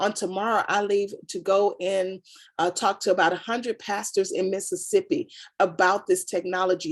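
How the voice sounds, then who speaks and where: A woman's animated voice sits at a medium pitch. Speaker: brand consultant giving a product demo. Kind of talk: sales pitch. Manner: fast.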